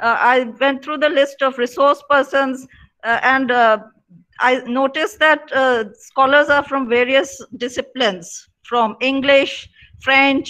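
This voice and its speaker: A woman's high, bright, sharp voice at a fairly slow pace, with fairly even intonation. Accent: Indian. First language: Punjabi. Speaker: professor. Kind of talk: opening remarks at online seminar. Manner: halting, many fillers.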